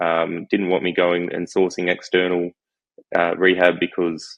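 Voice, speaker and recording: A man with an Australian accent talks in a very deep, low pitch with monotone, flat intonation. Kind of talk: podcast interview answer.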